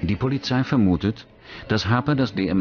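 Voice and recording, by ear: A man talks at a moderate pace with ordinary pitch variation. His tone is slightly mellow.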